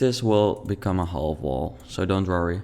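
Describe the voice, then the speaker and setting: A man with a Dutch accent talks at a fairly slow pace. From Netherlands. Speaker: video game YouTuber. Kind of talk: let's play commentary. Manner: halting.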